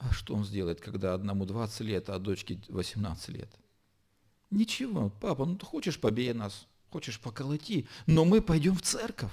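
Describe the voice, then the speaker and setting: Very wide pitch swings mark a dark, mellow, somewhat breathy voice over a quiet background. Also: man. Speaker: pastor. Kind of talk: sermon. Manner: slow. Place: church. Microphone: podium.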